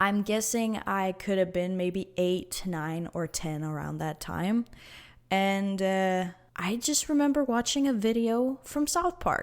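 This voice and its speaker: A woman of medium pitch speaks at a fairly slow pace with lively intonation in a very clean recording with a silent background. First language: not English. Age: 20s. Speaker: podcast host. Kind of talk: casual monologue podcast. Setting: empty living room. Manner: halting, many fillers and restarts.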